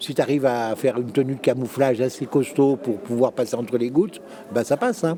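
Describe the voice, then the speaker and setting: A man talks at a fairly quick pace with a medium pitch. His pitch varies in an ordinary way, and there is noticeable background noise. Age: 60s. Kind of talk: interview testimony. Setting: conference. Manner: halting.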